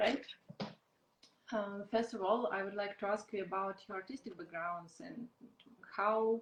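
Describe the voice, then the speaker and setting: A woman of medium pitch speaks at a fairly slow pace with a non-native accent, a somewhat breathy quality, ordinary pitch variation, and long, frequent pauses. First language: not English. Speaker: podcast host. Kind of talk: interview. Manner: halting.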